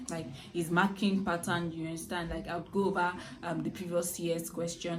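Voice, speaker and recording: Over noticeable background noise and audible room echo, a woman speaks with a fairly low pitch and fairly even intonation. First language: a native language other than English. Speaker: student YouTuber. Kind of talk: casual vlog talk to camera. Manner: halting, many fillers and restarts.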